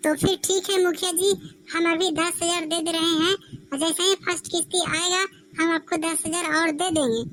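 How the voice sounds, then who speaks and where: A woman puts on a cartoonish character voice at an extremely high pitch. She speaks fairly quickly in a monotone, flat delivery. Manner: polite, earnest.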